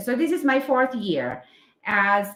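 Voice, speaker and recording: A woman with a Filipino accent and very wide pitch swings. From Philippines. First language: Filipino language. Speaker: English teacher. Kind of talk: casual live stream chat. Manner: halting, many fillers.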